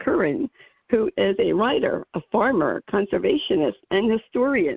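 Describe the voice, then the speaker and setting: A woman with a New Jersey accent and a fairly high voice. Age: 60s. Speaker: radio talk show host. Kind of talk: interview. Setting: radio show.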